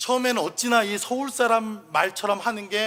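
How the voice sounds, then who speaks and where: Bright, sharp tone in a raised, projected voice. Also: man. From South Korea, Chungcheong province. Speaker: pastor. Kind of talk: sermon.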